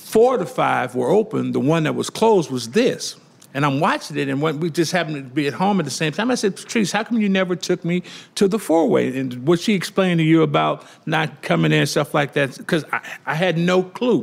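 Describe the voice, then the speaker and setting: At a fairly quick pace, a man speaks with lively intonation in a Louisiana accent. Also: fairly high pitch for a man. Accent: Southern US (Louisiana). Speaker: restaurant co-owner. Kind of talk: interview. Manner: animated.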